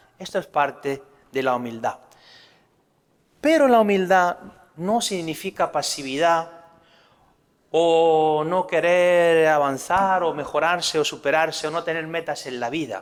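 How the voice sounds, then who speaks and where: A man with a Spanish accent speaks at a fairly slow pace in a fairly high pitch. His pitch varies in an ordinary way, with long, frequent pauses. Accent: Spanish (Spain). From Spain. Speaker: priest. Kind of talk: religious talk.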